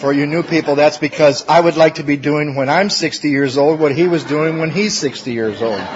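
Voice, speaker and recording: A man talks at a fairly quick pace with hardly any pauses, his fairly high pitch showing ordinary variation over noticeable background noise. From Michigan, US Midwest. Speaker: recovery speaker. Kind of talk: recovery testimony talk. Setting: workshop with live audience.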